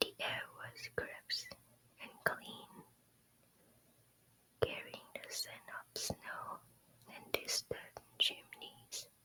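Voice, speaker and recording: The speaker whispers extremely slowly, stopping often for long stretches, while noise is clearly audible behind. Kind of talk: ASMR whispered storytime reading. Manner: whispered, soft-spoken.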